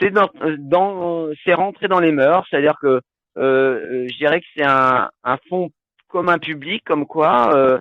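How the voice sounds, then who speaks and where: A man's fairly high voice at a very slow pace, with ordinary pitch variation. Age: 60s. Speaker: health talk presenter. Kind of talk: live online talk with Q&A. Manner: hesitant, many fillers.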